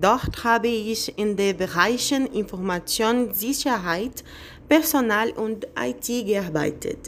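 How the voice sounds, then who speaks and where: A woman speaks at a very slow pace. Her voice is fairly high in pitch, with lively intonation. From Brazil, Bahia. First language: Portuguese (speaking German). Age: 30s. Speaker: job applicant. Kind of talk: video CV presentation.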